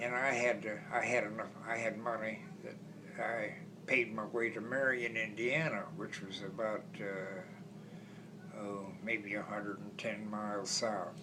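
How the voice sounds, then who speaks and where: Over noticeable background noise, a man at medium pitch speaks at a very slow pace with lively intonation. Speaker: World War II Marine veteran. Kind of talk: interview answer.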